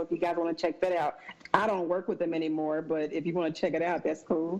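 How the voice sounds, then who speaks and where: Noticeable background noise sits behind this woman's voice. She talks in a fairly low pitch with a Southern accent. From US South, Mississippi. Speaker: podcast guest. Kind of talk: casual chat.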